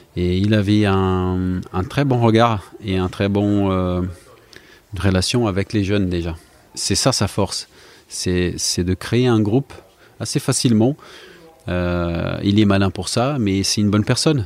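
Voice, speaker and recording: A man with a Portuguese accent and fairly low pitch speaks very slowly with ordinary pitch variation, leaving long, frequent pauses. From Brazil. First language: Portuguese (speaking French). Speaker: retired footballer. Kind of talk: interview. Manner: halting.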